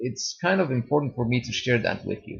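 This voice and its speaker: With a Serbian accent, the speaker sounds somewhat breathy and shows ordinary pitch variation. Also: man. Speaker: YouTuber. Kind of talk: testimony. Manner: halting.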